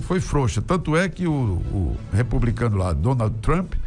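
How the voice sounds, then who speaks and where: A man's medium-pitched voice with very wide pitch swings, at a fairly slow pace, with music in the background. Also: very even loudness. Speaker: radio and TV announcer, opinion commentator. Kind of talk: opinion commentary to camera, political talk.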